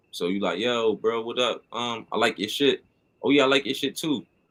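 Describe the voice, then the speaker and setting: A man talks at a fairly quick pace in a bright, sharp tone. His intonation stays fairly even. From Connecticut, US East Coast. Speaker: hip-hop artist and show host. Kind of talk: casual chat.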